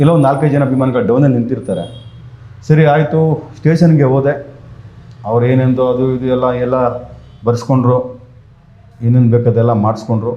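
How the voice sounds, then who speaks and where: Audible room echo around a man at a medium pitch, his pitch variation ordinary. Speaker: fan activist. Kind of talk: interview.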